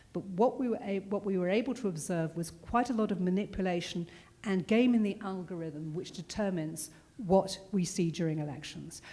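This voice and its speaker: With a British accent, a woman speaks at a fairly quick pace in a dark, mellow tone. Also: medium pitch for a woman, ordinary pitch variation. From Britain. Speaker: security consultant, former journalist. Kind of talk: panel discussion.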